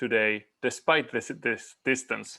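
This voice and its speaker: With an Argentine accent, a man speaks at a moderate pace and with fairly even intonation. The background is quiet. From Argentina. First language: Spanish. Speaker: climate scientist. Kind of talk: conference presentation.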